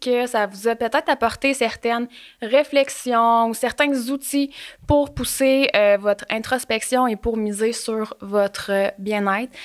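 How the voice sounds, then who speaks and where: In a Quebec accent, a woman speaks at a very slow pace with a high pitch and ordinary pitch variation. The background is quiet. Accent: Québécois French. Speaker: podcast host. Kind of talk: scripted narration; casual chat. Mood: warm, friendly. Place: studio. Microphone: studio mic.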